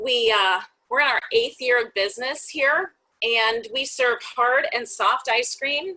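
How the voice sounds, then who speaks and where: A woman speaks loudly and fairly slowly in a high voice with a bright, sharp tone. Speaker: ice cream shop owner. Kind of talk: webinar presentation. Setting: online webinar call.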